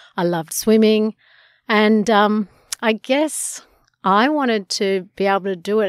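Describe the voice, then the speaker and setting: Recorded very cleanly with a silent background and a dry, close sound with no echo, a woman speaks with an Australian accent. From Sydney eastern suburbs, Australia. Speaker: surf school owner. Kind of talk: interview.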